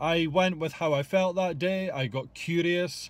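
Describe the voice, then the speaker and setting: Speaking at a fairly slow pace, a man with a high pitch and ordinary pitch variation sounds dry, with no echo. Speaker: fitness coach. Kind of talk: casual vlog chat. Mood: relaxed, reflective. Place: car. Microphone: phone near.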